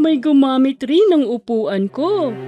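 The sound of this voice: A cartoonish character voice at a very slow pace, with faint music in the background. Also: female-sounding voice, high pitch for a woman.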